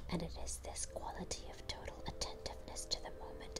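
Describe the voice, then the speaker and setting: Someone whispers soft-spoken words at a moderate pace over noticeable background noise. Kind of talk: ASMR tarot card reading, whispered. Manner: whispered, soft.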